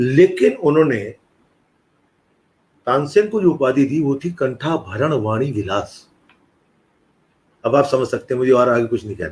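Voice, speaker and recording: Long, frequent pauses break up a somewhat breathy voice with lively intonation. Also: man, medium pitch for a man. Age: 60s. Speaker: retired professor and music scholar. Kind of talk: interview conversation. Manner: explanatory, conversational.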